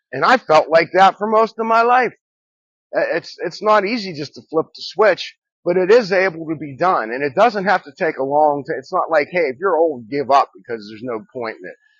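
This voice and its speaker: A man with a high pitch speaks at a moderate pace, his pitch swinging very widely and his loudness rising and falling sharply, in a dry, close sound with no echo against a quiet background. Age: 60s. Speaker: recovery vlogger. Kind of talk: personal talk to camera. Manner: halting, with repetitions.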